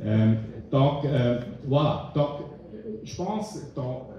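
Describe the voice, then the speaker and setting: Through audible room echo, a man with a fairly high pitch and a dark, mellow tone speaks somewhat breathily at a very slow pace. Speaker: diplomat / foreign policy expert. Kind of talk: panel discussion.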